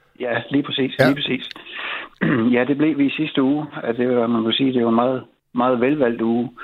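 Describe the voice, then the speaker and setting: This man talks at a fairly quick pace with a medium pitch. His intonation is monotone and flat, and his loudness stays very even. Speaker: local union chairman. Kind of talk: radio interview.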